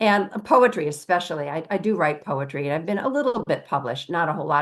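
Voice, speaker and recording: Against a quiet background, a woman with a fairly low pitch talks at a very fast pace, her intonation lively and her pauses hardly there. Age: 70s. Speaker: author and witch. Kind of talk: interview.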